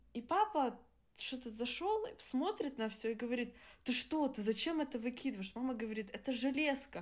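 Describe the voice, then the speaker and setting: A woman speaks with a high pitch and lively intonation at a moderate pace. Her speech has long, frequent pauses. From Germany. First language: Adyghe (speaking Russian). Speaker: podcast co-host. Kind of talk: casual chat.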